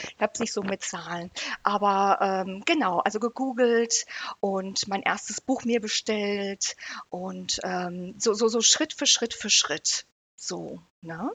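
A woman talks very slowly at a medium pitch, her pitch rising and falling in an ordinary way. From Great Britain. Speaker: psychotherapy practitioner. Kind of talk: interview.

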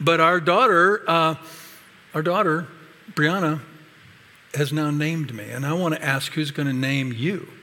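A man's bright, sharp, fairly high voice at a fairly slow pace, with ordinary pitch variation, long, frequent pauses and audible room echo. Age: 60s. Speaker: pastor. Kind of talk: sermon.

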